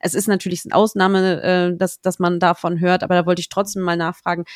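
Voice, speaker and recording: Recorded very cleanly against a silent background, a woman speaks in an ordinary speaking voice at medium pitch and a moderate pace, with a dry, close sound with no echo. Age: 30s. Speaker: podcast host on book marketing. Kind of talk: interview.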